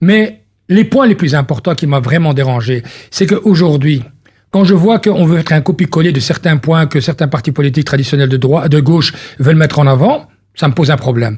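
Somewhat breathy and fairly high-pitched, a man talks at a fairly quick pace with lively intonation and very even loudness. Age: 50s. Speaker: politician. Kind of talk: radio interview.

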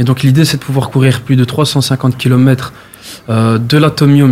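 A man speaks at a fairly slow pace in a medium-pitched, somewhat breathy voice. His intonation stays monotone and flat. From Brussels, Molenbeek. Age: 20s. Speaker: amateur athlete, charity runner. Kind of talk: interview. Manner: hesitant, filler words.

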